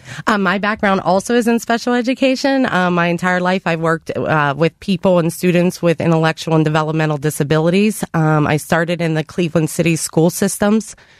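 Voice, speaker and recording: A woman with an American accent talks in a plain, everyday voice, fairly low in pitch, with ordinary pitch variation and very even loudness. She leaves hardly any pauses, and the sound is dry and close with no echo. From Pittsburgh, Pennsylvania. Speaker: nonprofit executive. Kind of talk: interview.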